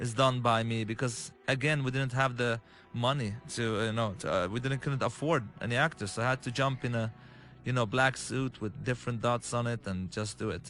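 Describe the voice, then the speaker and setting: With music in the background, a man with an Arabic accent speaks at medium pitch and a fairly quick pace, his intonation fairly even. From Lebanon. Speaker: game director. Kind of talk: game walkthrough commentary. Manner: halting.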